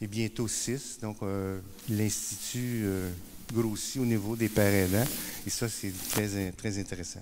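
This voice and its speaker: A man's fairly low, monotone voice with flat intonation, in a Quebec accent at a very slow pace, with audible room echo. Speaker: peer support worker and speaker. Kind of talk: conference talk. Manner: hesitant, many fillers and repetitions.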